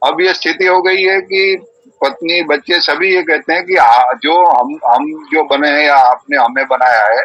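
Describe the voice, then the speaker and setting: Using an ordinary speaking voice, a man talks at a fairly high pitch with ordinary pitch variation, very even loudness and hardly any pauses. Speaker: Vedic preacher and yoga practitioner. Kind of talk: online discussion session.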